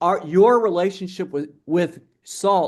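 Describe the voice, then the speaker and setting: A man's high-pitched voice with ordinary pitch variation, against a quiet background. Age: 60s. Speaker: metabolic health researcher and speaker. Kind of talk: interview Q&A at online conference. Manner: halting, many repetitions and restarts.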